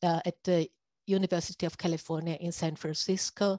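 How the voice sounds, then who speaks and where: A woman speaks at a moderate pace in a fairly low, monotone, flat voice. The sound is dry and close with no echo, over a quiet background. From Austria. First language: German. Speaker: radiology professor. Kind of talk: lecture. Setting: video call. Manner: halting.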